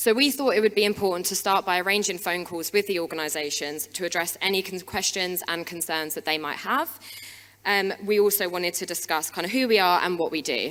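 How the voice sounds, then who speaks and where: A woman speaks with ordinary pitch variation. Noticeable background noise can be heard. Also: medium pitch for a woman, fairly quick pace. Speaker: wellbeing practitioner. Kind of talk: conference talk. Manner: fast; hesitant, many fillers.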